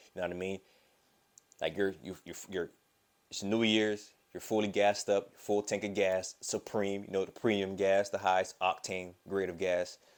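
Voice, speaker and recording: A man speaks with a Southern US accent in a flat monotone. His loudness swings widely. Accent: Southern US, fast quick talk. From Florida, US South. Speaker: vlogger. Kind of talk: casual vlog monologue. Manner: mumbles or stumbles over words.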